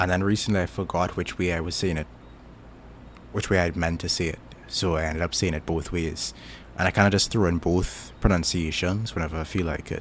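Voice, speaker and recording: A man with a very deep, low pitch and a Caribbean accent speaks in a relaxed tone. His pace is fairly quick and his intonation fairly even. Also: very clean recording, silent background. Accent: Caribbean, often mistaken for Jamaican. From Trinidad. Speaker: YouTuber. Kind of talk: casual chat. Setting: live stream. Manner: relaxed, halting with fillers.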